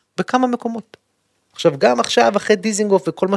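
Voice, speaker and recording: The sound is dry and close, with no echo at all. A man talks fairly quickly. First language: English (speaking Hebrew). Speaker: politician. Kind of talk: casual interview. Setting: studio.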